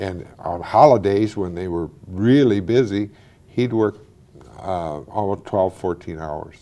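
A man with an Ohio accent at a very slow pace, fairly low in pitch, with ordinary pitch variation and big swings in loudness. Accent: Midwestern American (Ohio). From Wadsworth, Ohio. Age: 60s. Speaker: former mayor; interviewee. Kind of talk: oral history interview. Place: studio.

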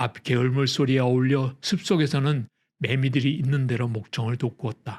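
With ordinary pitch variation and a somewhat breathy quality, a man talks at a moderate pace and medium pitch. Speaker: audiobook narrator. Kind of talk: scripted audiobook narration, essay read aloud. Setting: studio recording, ASMR sleep audio.

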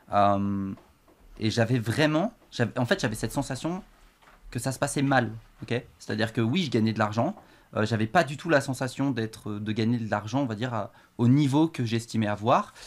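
At a moderate pace, a man talks with ordinary pitch variation and long, frequent pauses. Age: 20s. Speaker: professional poker player; guest. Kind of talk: casual chat. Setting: studio. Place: studio. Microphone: studio mic.

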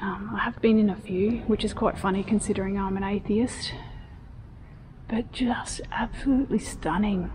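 A woman with an Australian accent and a fairly high voice speaks at a moderate pace with ordinary pitch variation over light background noise. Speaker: architecture video host. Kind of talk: vlog walking tour. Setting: inside a church. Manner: loud; animated. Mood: admiring, enthusiastic. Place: church. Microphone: phone near.

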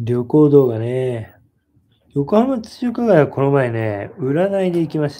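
Over a quiet background, a man with a dark, mellow tone speaks at a fairly slow pace with very wide pitch swings. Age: 30s. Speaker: YouTuber, husband co-host. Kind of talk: casual live stream chat. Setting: home live stream. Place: home room. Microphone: phone near.

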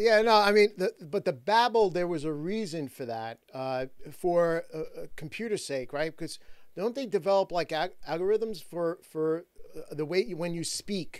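A man at a fairly slow pace, in a dry sound with no echo and a quiet background. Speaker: talk show host. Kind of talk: interviewer questions. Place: studio. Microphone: studio mic.

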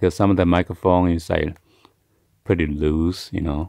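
A man speaks in a low voice with a dark, mellow tone and some vocal fry. His intonation stays fairly even.

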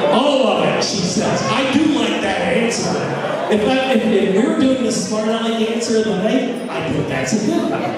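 A man talks at a moderate pace with ordinary pitch variation. Loud background noise and audible room echo fill the recording. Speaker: party emcee. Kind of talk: event hosting, trivia quiz. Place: hall. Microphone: handheld.

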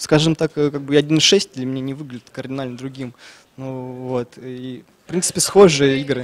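At medium pitch, a man talks at a moderate pace with fairly even intonation. His loudness swings widely. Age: 20s. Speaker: esports player, tournament winner. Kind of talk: interview; interview answer. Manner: hesitant, many filler words. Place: hall. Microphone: handheld.

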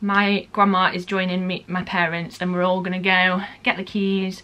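A woman at a moderate pace. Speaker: vlogger. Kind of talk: casual vlog chat. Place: home room. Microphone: phone near.

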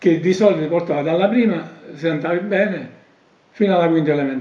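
Heard with audible room echo, the speech comes at a very fast pace with ordinary pitch variation. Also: man, high pitch for a man. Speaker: elder recounting memories. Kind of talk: oral history interview answer. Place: home room.

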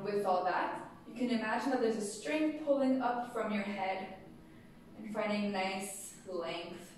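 With strong room echo and light background noise, a woman speaks with ordinary pitch variation. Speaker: yoga teacher. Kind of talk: guided yoga class, step-by-step postural cueing. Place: studio. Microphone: camera far.

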